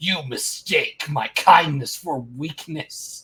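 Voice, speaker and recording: Someone performs a put-on character voice, raspy and middle-pitched, at a very slow pace. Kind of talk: theatrical, declarative. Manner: dramatic.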